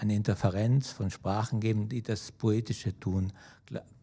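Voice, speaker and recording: A man's fairly low, somewhat breathy voice with a dark, mellow tone, fairly slow and fairly even in intonation, on a very clean recording with a silent background. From South Tyrol or Germany. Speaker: poet. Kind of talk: artist talk at a festival. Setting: auditorium with audience. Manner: halting, many hesitations.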